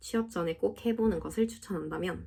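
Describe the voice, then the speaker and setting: In a Gyeongsang accent, a woman speaks fairly quickly at medium pitch with ordinary pitch variation and a somewhat breathy voice. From South Gyeongsang, Korea. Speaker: civil servant. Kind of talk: casual Q&A talk to camera.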